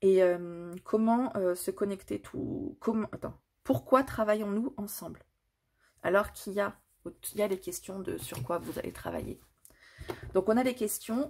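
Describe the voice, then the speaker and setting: A woman at medium pitch speaks at a fairly slow pace with long, frequent pauses. Her somewhat breathy voice makes very wide pitch swings and big swings in loudness. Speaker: tarot card reader. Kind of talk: tarot reading.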